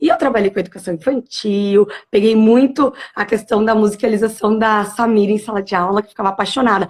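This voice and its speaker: An ordinary speaking voice from a woman, fairly high in pitch, at a fairly quick pace with ordinary pitch variation. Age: 30s. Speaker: primary school teacher. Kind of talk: live-stream interview. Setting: live video stream.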